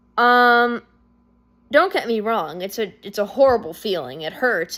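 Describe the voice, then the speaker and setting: With a bright, sharp tone and lively intonation, a woman speaks at a moderate pace and medium pitch. The recording is very clean, with a silent background. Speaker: vlogger. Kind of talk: personal monologue. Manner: halting, many fillers and restarts; loud when excited.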